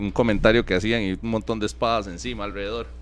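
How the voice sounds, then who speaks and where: Vocal fry runs through this man's voice. He speaks at a very fast pace. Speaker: sports radio co-host. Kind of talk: sports talk radio.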